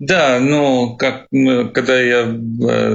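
A man with an Arabic accent. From Syria. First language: Arabic (speaking Russian). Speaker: refugee, cook. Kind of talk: interview. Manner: halting.

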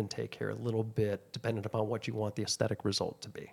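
There is vocal fry in this man's voice. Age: 50s. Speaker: aesthetic injector and clinic owner. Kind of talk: casual chat.

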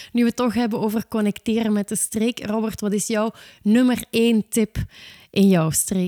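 A woman talks in an unremarkable speaking voice, fairly high in pitch and at a moderate pace. The recording is very clean, with a silent background and a dry, close sound with no echo. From south of Belgian Limburg. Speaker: podcast host. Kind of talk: interview.

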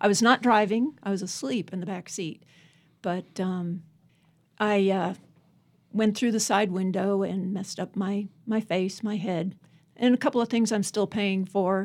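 Using a normal speaking voice, a woman with an American accent talks at a fairly slow pace. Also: medium pitch for a woman. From Northern Virginia, US. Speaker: poet. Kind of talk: interview about her life and poetry.

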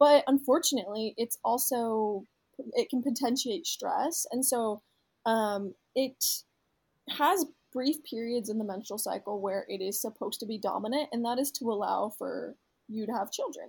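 A woman with an unremarkable speaking voice talks at a moderate pace with ordinary pitch variation. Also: fairly high pitch for a woman. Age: 20s. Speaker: health startup founder. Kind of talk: casual interview.

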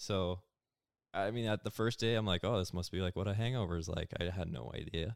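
A man's fairly low-pitched voice, a plain, everyday voice, with ordinary pitch variation. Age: 20s. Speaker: podcast guest discussing anxiety. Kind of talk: casual chat.

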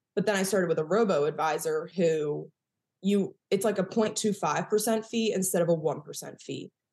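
A woman speaks with an American accent. Her pitch is medium, with ordinary variation. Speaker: chiropractor and personal finance coach. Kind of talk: casual interview chat. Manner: fast talker.

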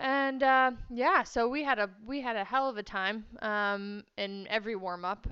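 A woman with a Texan accent speaks at a fairly slow pace and a fairly high pitch, with ordinary pitch variation and hardly any pauses. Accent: Texan American. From Texas. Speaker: event rider and riding instructor. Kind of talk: interview.

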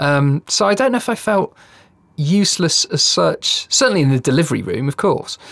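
Man's high voice at a moderate pace, very wide in its pitch swings, in a dry, close sound with no echo. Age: 40s. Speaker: podcast host. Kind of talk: casual chat.

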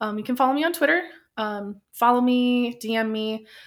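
Over a silent background in a very clean recording, a woman speaks in a normal speaking voice at a moderate pace, her fairly high pitch showing ordinary pitch variation. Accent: American. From Tucson, Arizona. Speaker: podcaster. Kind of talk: casual chat.

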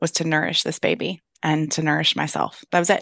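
A woman's very deep, low voice with vocal fry and an American accent, dry and close with no echo, over a quiet background. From US, farming and ranching family. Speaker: podcast host. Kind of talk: casual interview chat. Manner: animated.

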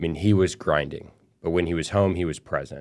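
A man with an American accent, in a very clean recording with a silent background. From West Texas (El Paso). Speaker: real estate investment executive. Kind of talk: interview, motivational business talk. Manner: energetic.

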